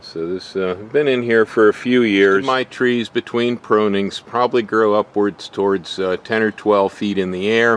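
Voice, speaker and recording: Using an ordinary speaking voice, a man of fairly low pitch speaks at a moderate pace with fairly even intonation in a dry sound with no echo. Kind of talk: tutorial. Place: garden. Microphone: phone near.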